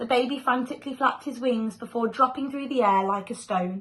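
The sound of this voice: A woman's voice sits at a fairly high pitch and carries a fairly bright tone.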